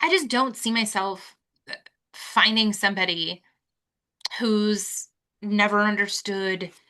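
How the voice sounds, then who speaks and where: Over a quiet background, a woman speaks loudly in a bright, sharp tone at a fairly slow pace. Her intonation is fairly even, broken by long, frequent pauses. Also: medium pitch for a woman. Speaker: podcast co-host. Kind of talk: casual chat.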